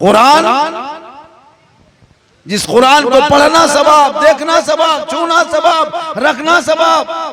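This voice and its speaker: With an extremely high pitch, a man speaks in a raised, projected voice and fairly even intonation. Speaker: Islamic preacher. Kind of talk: religious sermon. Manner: humorous.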